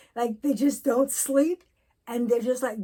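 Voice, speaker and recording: The speaker is a woman with a high pitch. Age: 60s. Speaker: vlogger sharing personal mental health experience. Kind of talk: personal vlog monologue. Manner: halting, many fillers.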